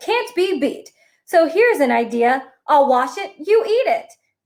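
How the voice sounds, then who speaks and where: A squeaky put-on character voice at a moderate pace, with very wide pitch swings and big swings in loudness. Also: woman, extremely high pitch for a woman. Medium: read story. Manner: jolly, exclamatory.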